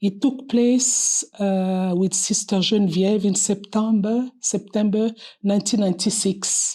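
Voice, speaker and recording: In a very clean recording with a silent background, a woman speaks with a French accent at a medium pitch. Her tone is dark and mellow, somewhat breathy, with fairly even intonation. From Republic of Congo. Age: 60s. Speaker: nun and pediatric surgeon. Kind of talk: personal testimony interview. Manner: hesitant with fillers.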